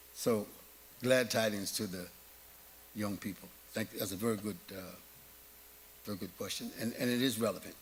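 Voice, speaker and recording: With an American accent, a man talks at a fairly quick pace and a fairly low pitch with fairly even intonation and long, frequent pauses, in a space with audible room echo. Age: 70s. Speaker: Islamic preacher. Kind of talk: lecture Q&A.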